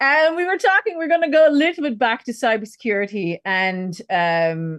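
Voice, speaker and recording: Over a quiet background, a woman talks with very wide pitch swings. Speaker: podcast host. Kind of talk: interview conversation.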